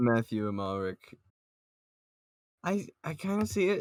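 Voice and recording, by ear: A man at medium pitch talks at a fairly slow pace with big pitch swings, the sound dry and close with no echo.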